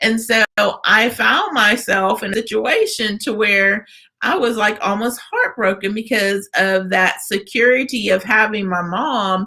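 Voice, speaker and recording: A woman speaks in an unremarkable speaking voice, fairly high in pitch, at a fairly slow pace with fairly even intonation. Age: 50s. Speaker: radio host. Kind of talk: interview.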